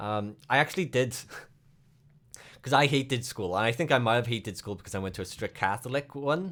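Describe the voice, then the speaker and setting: A man with a Welsh accent speaks at a medium pitch with lively intonation and a fairly quick pace, broken by long, frequent pauses. The recording is very clean, with a silent background. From Wales. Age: 30s. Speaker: streamer. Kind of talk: casual chat.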